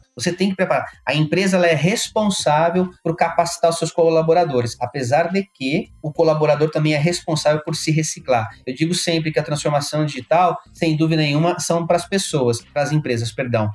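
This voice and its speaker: A man speaks at a fairly quick pace with hardly any pauses, his pitch fairly high and its variation ordinary. Noticeable background noise runs beneath him. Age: 40s. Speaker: tech company founder and angel investor. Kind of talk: interview.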